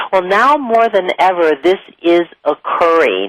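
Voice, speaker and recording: The voice of a woman with an American accent sounds dry and close, with no echo. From US Midwest. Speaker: spiritual teacher and show host. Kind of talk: talk-show monologue. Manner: conversational, with filler words.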